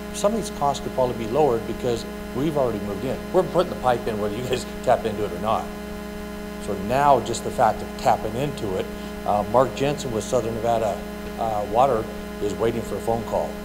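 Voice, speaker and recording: With music playing in the background, a man talks at a very fast pace. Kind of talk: public comment at a meeting. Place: hall. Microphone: podium.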